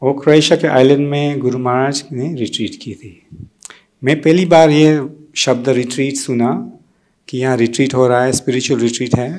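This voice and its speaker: This man's medium-pitched voice keeps a fairly even intonation while its loudness swings widely. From Tanzania, East Africa, Gujarati family. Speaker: devotee speaker at memorial gathering. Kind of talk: personal testimony. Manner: halting, with many fillers.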